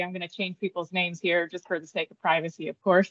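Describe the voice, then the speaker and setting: A woman with an American accent speaks at medium pitch in monotone, flat intonation. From upstate New York. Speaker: nurse sonographer, former Air Force nurse. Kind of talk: interview testimony.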